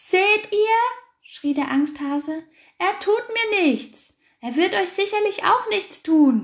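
Shouting in a put-on character voice, a woman hits an extremely high pitch. She goes at a fairly slow pace.

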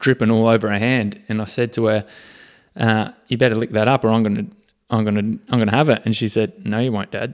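On a very clean recording with a silent background, a man speaks at a fairly quick pace and medium pitch with fairly even intonation. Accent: Australian. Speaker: podcast co-host, fitness-minded parent. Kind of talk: casual chat.

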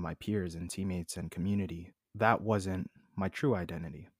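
With a Canadian accent, a man speaks in a very deep, low voice and fairly even intonation on a very clean recording with a silent background. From Manitoba, Canada. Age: 20s. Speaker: podcast guest, dancer and hobbyist. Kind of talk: casual interview. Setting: call.

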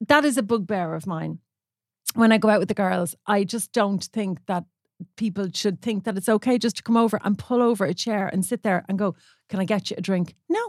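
Talking at a fairly quick pace, a woman with an Irish accent uses a medium pitch and ordinary pitch variation. The very clean recording has a silent background and a dry, close sound with no echo. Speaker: podcast co-host, photographer. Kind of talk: casual chat.

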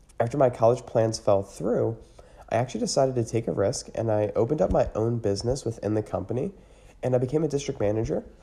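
Talking at a very fast pace, a man with an American accent uses a medium pitch and a dark, mellow tone, with vocal fry and ordinary pitch variation. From US, Pennsylvania (Lancaster County area). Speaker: podcast host. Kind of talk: monologue.

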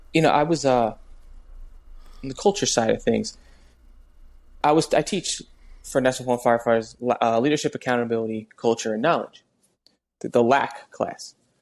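In an American accent, a man talks at a fairly quick pace with medium pitch and ordinary pitch variation, leaving long, frequent pauses on a very clean recording with a silent background. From New Jersey. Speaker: podcast host and firefighter. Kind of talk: casual chat.

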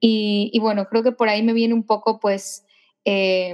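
A woman speaks with a fairly high pitch. Her intonation stays monotone and flat. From Ecuador. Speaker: singer-songwriter. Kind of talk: interview.

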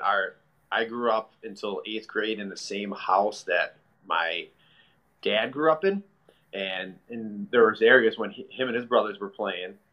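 This man has a plain, everyday voice at a medium pitch. He speaks at a moderate pace with ordinary pitch variation. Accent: American. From Chicago. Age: 30s. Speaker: hockey player and youth hockey director. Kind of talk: casual interview.

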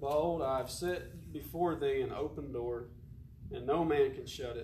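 Fairly slow delivery over noticeable background noise. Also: man. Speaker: preacher. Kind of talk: sermon. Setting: church.

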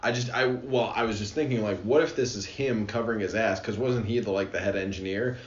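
With noticeable background noise behind him, a man talks at a fairly quick pace with hardly any pauses, using a medium pitch and ordinary pitch variation. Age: 20s. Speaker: manufacturing engineer, podcast co-host. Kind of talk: casual chat.

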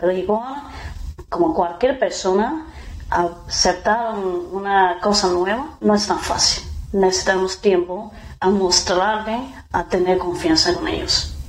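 Amid noticeable background noise and audible room echo, a woman at a medium pitch speaks very slowly, with ordinary pitch variation and very even loudness. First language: Mandarin Chinese (speaking Spanish). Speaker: dairy company representative. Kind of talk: interview. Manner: halting.

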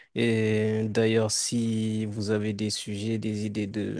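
The man's voice is fairly low and monotone, with flat intonation. The recording is very clean, with a silent background. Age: 20s. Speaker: podcast co-host. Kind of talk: casual chat.

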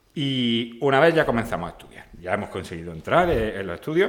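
A man is talking. He keeps a moderate pace. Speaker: podcast host and veterinary lecturer. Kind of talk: casual interview.

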